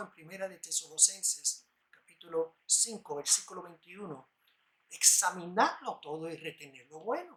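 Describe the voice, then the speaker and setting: Speaking at a moderate pace, a man shows ordinary pitch variation and big swings in loudness. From New York, US (Puerto Rican parents). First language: English (speaking Spanish). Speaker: lay preacher. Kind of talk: bible study sermon.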